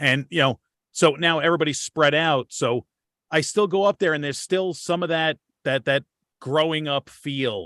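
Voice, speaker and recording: In a New York accent, a man speaks at a moderate pace with a fairly high pitch, ordinary pitch variation and a bright, sharp tone. The sound is dry and close with no echo, over a quiet background. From Long Island, New York. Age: 40s. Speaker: podcast host. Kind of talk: casual chat.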